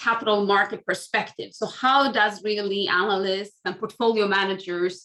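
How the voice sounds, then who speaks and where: Speaking with a Swedish accent, a woman talks at a moderate pace and fairly high pitch. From Sweden. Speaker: academic researcher. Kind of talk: panel discussion.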